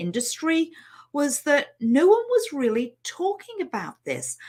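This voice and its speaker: Speaking with a Liverpool accent, a woman uses a high pitch. Her pitch swings very widely. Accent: British (Liverpool). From England, Liverpool. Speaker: money mindset coach. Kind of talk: online training webinar. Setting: live stream. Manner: hesitant, many fillers.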